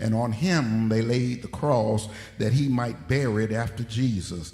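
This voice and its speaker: A man's medium-pitched voice at a fairly slow pace, with ordinary pitch variation, audible room echo, and noticeable background noise. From Detroit, US Midwest. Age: 60s. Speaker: pastor. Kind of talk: sermon. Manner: emphatic, repeats points.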